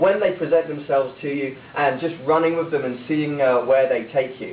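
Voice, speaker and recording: Someone speaks in an English accent over noticeable background noise. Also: man. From England, small town. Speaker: motivational speaker, former cruise ship worker. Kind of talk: speech to audience. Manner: animated.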